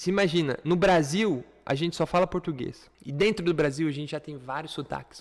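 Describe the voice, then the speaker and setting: The delivery is animated, at a moderate pace with ordinary pitch variation. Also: man. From Brazil. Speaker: online English teacher. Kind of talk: lecture.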